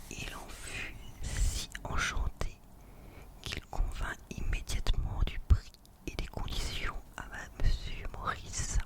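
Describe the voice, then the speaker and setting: Amid noticeable background noise, the whispering crawls along at a very slow pace, broken by long, frequent pauses. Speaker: ASMR reader. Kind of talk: whispered audiobook reading. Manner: whispered.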